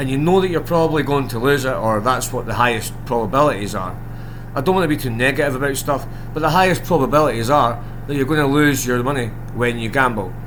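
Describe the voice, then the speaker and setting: A man's very fast speech at medium pitch with ordinary pitch variation, plus audible room echo and noticeable background noise. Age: 40s. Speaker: gambling content creator. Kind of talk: casual monologue to camera. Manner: rambling, hesitant with many ums.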